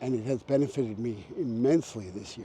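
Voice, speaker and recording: The man's voice sits at a medium pitch and varies in pitch in an ordinary way. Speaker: photographer. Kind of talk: vlog monologue. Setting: outdoors, on a walk. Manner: whispering at times.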